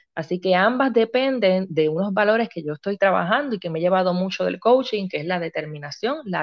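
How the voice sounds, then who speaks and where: A woman speaks in a Puerto Rican accent. Her medium pitch carries lively intonation. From Puerto Rico, Río Grande. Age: 40s. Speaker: family coach and dessert shop owner. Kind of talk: interview testimony.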